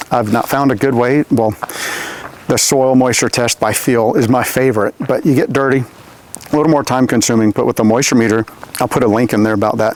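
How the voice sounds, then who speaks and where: Fairly even intonation at a fairly quick pace, with noticeable background noise. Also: man. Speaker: tree care specialist. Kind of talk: on-site tutorial. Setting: outdoors. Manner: fast; casual with fillers.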